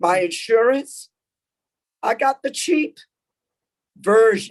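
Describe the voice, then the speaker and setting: A woman speaks at a very slow pace. Her fairly high voice carries lively intonation. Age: 60s. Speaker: essential health care worker testifying. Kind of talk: public hearing testimony.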